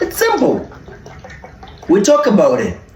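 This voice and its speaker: A man's pitch swings very widely while noticeable background noise runs behind him. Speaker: food vlogger and content creator. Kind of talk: casual talk to camera, Q&A while eating. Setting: eating spicy food while answering audience questions.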